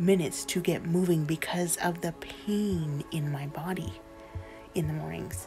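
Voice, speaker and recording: Faint music plays in the background as a woman talks at a fairly low pitch with fairly even intonation. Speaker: vlogger. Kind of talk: casual vlog chat. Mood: earnest, personal, faith-filled. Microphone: phone near.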